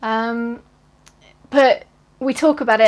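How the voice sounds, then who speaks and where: This woman speaks with a British accent at a fairly high pitch. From southeast England, near London. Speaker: cross-stitch vlogger. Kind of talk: casual vlog. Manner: hesitant, with many fillers.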